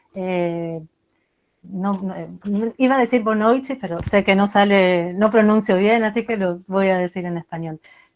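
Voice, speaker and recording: The pace of this woman's speech is fairly slow. Her medium pitch shows ordinary variation. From Argentina, Buenos Aires. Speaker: literature professor and researcher. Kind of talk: academic lecture. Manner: halting, many fillers.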